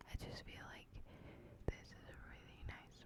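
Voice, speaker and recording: Someone is whispering at a very slow pace. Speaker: ASMR creator. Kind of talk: ASMR whisper talk to camera. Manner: whispered, soft, close to the microphone.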